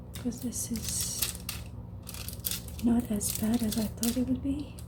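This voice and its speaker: Against noticeable background noise, a soft-spoken woman speaks at a fairly slow pace. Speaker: ASMR creator. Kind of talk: ASMR whisper-style talk to camera.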